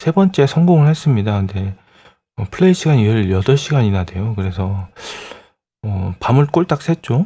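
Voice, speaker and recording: This man's medium-pitched voice is somewhat breathy, with a dark, mellow tone and lively intonation. He speaks at a moderate pace on a very clean recording with a silent background. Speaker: retro computer hardware youtuber. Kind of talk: tutorial. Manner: hesitant with many fillers.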